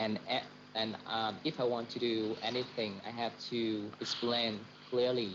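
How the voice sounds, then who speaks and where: A man with a Vietnamese accent speaks at a very slow pace and medium pitch in a monotone, flat intonation. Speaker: doctor. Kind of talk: casual chat. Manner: halting, many fillers.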